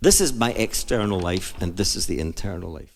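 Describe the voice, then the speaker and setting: In a Scottish accent, a man speaks with ordinary pitch variation. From Scotland. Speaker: jazz singer and pianist. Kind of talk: book reading and storytelling. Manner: friendly, bubbly.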